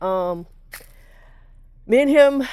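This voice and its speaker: Very slow in pace, a woman speaks with a dark, mellow tone and lively intonation. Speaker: car owner vlogger. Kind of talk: personal story to camera. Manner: halting, many fillers.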